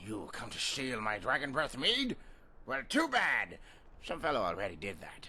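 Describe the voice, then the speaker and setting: Over light background noise, a man does a put-on character voice at a moderate pace, his loudness swinging widely. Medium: video game. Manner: rambling, boozy.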